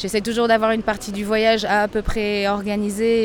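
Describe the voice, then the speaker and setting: Noticeable noise fills the background. Over it, a woman talks at a fairly slow pace. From Portugal (Lisbon), French family. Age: 40s. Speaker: traveller. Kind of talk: interview testimony. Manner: hesitant, with fillers.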